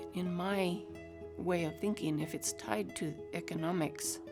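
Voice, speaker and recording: A woman speaks with music in the background. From Northern New Mexico. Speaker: weaver and wool shop owner. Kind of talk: documentary interview answer.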